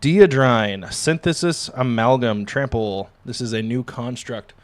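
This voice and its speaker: A man of medium pitch speaks in an enthusiastic tone on a very clean recording with a silent background. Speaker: card-opening streamer. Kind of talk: live-streamed pack opening. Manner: stumbling over words; casual, enthusiastic.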